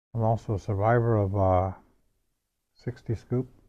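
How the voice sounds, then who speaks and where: A man speaks at a fairly slow pace with a fairly low pitch. His tone is dark and mellow, and his intonation fairly even. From northwestern Ontario, Canada (First Nations). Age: 60s. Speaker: residential school survivor, elder. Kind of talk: personal testimony. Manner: halting, with frequent fillers and repetitions.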